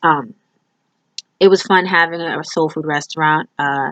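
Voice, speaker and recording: A woman with a very deep, low pitch speaks with lively intonation in a dry, close sound with no echo. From New York. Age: 30s. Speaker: student. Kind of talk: self-introduction video. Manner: casual, with filler words.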